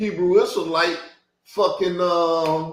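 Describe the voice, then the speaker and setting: An animated man with an American accent, with audible room echo. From Chicago South Side. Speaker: YouTube channel host, religious commentator. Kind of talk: heated rant.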